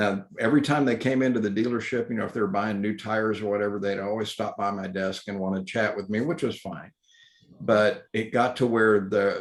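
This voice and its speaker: Delivered in a Texas accent, the speech moves at a fairly quick pace with ordinary pitch variation. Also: man. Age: 60s. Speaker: electric vehicle educator. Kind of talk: talk with questions.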